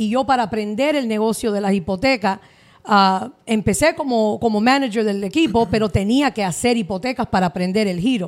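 A plain, everyday voice, neither fast nor slow, with ordinary pitch variation. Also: woman, fairly high pitch for a woman. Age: 40s. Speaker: mortgage advisor. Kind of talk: interview.

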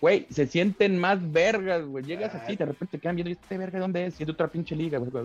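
A man talks at a very fast pace in a high voice with ordinary pitch variation. Noticeable background noise is present. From Mexico, Tlalnepantla (State of Mexico). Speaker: MMA fighter. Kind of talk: casual interview. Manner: casual, slangy.

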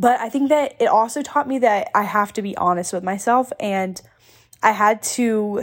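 A woman with a fairly high pitch talks at a moderate pace. Her intonation is lively, and the recording is very clean with a silent background. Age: 20s. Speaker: podcast host. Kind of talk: casual personal storytelling monologue. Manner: chatty, filler-heavy.

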